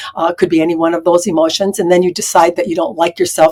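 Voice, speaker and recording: At a very fast pace, a woman speaks with a fairly low pitch and fairly even intonation. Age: 60s. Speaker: spiritual channeler and Akashic records consultant. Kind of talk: interview conversation. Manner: frequent filler hesitations.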